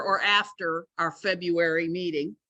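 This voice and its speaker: Loud and bright with a sharp tone, a woman speaks at a moderate pace in a fairly low pitch, her intonation fairly even. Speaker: club chapter leader. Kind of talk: meeting announcements. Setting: hybrid meeting, in person and Zoom.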